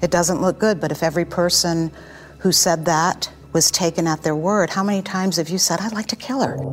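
A woman with a fairly low pitch and ordinary pitch variation at a fairly quick pace, amid noticeable background noise. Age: 60s. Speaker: murder suspect. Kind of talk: interview.

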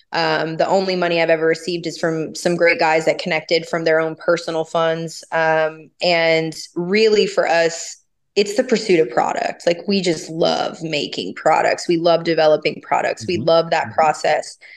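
With an American accent and a normal speaking voice, a woman talks at a moderate pace with hardly any pauses, her pitch fairly low and her intonation fairly even. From US South. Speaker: cannabis company founder. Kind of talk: interview. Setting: remote interview from Napa.

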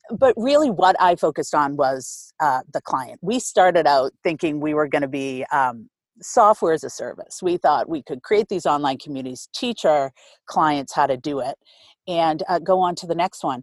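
In an American accent, a woman with a very deep, low pitch speaks at a moderate pace with lively intonation, the sound dry and close with no echo over a quiet background. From Boston, Massachusetts. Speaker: nonprofit accelerator CEO. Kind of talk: interview.

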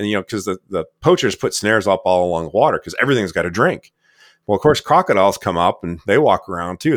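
A man's very fast, lively speech at a fairly low pitch with an American accent, dry and close with no echo, on a very clean recording with a silent background. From Michigan, US Midwest. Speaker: film director and conservationist. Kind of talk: interview conversation.

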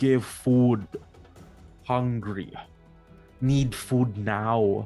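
The speaker uses a booming, put-on character voice. Faint music plays in the background. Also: man, medium pitch for a man. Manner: gruff, demanding.

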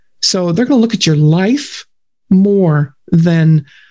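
A woman speaks at a very slow pace in a fairly low, somewhat breathy voice with a dark, mellow tone and ordinary pitch variation. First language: German. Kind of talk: faith testimony interview.

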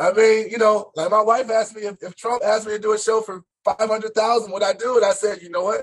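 Hardly pausing, a man rushes along at a very fast pace with a high pitch and monotone, flat intonation, though his loudness swings a great deal. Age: 40s. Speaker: stand-up comedian. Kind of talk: casual chat.

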